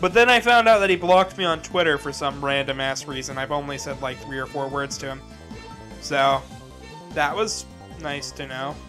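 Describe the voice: Music plays behind a man speaking at a moderate pace. His fairly high voice carries lively intonation. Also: big swings in loudness.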